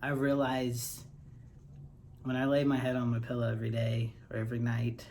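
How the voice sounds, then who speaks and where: With audible room echo around him, a man talks at a fairly slow pace in a flat, monotone intonation. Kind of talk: casual personal vlog. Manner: hesitant, many fillers.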